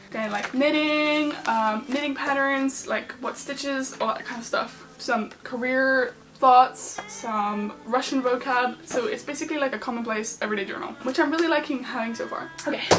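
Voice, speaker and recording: A woman's high-pitched voice with noticeable background noise. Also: ordinary pitch variation. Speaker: YouTuber. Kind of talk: casual vlog talk. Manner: fast.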